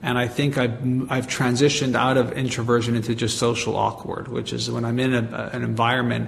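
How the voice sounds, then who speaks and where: Amid noticeable background noise and audible room echo, a man with a medium pitch speaks fairly quickly in a flat monotone, with hardly any pauses. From Canada, Montreal. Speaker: marketing agency president and author. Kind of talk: interview.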